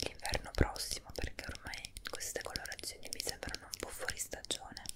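A woman is whispering. She keeps a moderate pace. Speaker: ASMR creator. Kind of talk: ASMR product show and tell. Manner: whispered. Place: home room. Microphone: earbuds.

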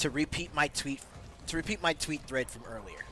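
The sound is dry with no echo as a man speaks against noticeable background noise. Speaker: game streamer. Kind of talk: angry rant; livestream commentary. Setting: livestream, clipped highlight. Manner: impassioned, emphatic, cursing, building heat as he lists grievances. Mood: passionate, emphatic rant. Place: home room. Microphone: headset.

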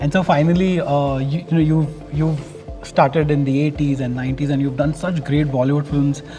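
Over clear background music, a man talks at a fairly quick pace with a fairly high pitch and a monotone, flat intonation. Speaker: film critic and interviewer. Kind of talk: interview questions. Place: hall.

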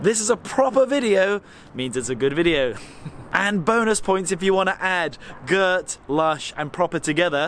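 At a moderate pace, a man speaks with lively intonation in a dry, echo-free sound over light background noise. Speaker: travel vlogger. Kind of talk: casual vlog chat. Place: street. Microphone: phone near.

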